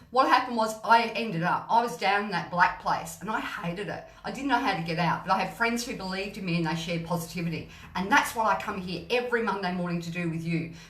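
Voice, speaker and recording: With audible room echo, a woman talks very fast in an animated tone, her medium pitch showing ordinary variation. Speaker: gut health mentor and live streamer. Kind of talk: motivational live stream.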